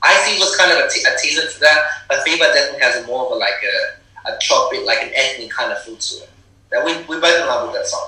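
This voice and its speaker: A man speaks very fast with an American accent. Noticeable background noise and audible room echo fill the recording. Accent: American-sounding. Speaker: rapper. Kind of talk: interview.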